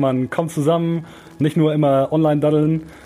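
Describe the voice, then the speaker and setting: Through noticeable background noise, a man speaks at a fairly high pitch. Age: 20s. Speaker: student radio presenter. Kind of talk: casual chat.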